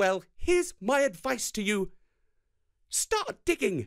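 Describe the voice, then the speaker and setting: Fairly high-pitched put-on character voice. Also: fairly slow pace. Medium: read story. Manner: scornful, indignant.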